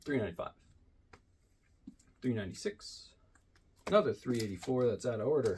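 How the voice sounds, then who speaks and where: Breathing somewhat breathily, a man speaks at a fairly quick pace with long, frequent pauses and very wide pitch swings. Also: medium pitch for a man. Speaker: comic book collector and YouTuber. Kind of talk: casual show-and-tell video. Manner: fast.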